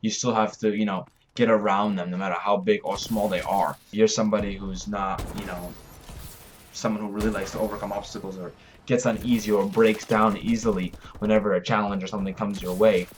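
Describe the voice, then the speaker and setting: Over noticeable background noise, a man with a fairly low pitch speaks fairly quickly in a monotone, flat delivery. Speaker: vlogger, fitness and martial arts creator. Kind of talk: motivational vlog talk. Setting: cold house with no heat. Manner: fast.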